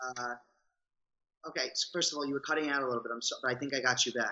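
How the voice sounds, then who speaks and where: An energetic man at medium pitch with a strong New York accent. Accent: thick New York. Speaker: reality show contestant and Broadway performer. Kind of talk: interview. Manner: energetic, rambunctious. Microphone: cutting out a little.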